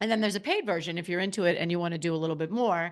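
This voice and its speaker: A woman talks very fast in an animated tone, with ordinary pitch variation. The background is quiet. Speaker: podcast host. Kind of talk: casual podcast monologue.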